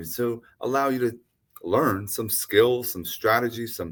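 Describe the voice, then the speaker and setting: This is a man with a normal speaking voice, pitched in the medium range, with ordinary pitch variation. The recording is very clean, with a silent background. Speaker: podcast host. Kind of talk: podcast interview talk.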